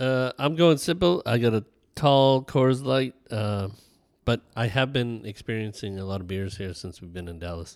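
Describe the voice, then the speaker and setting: This man has a plain, everyday voice at a medium pitch, with lively intonation. He moves at a moderate pace, and his loudness swings widely. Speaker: podcast host. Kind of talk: casual chat. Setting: in person, Airbnb.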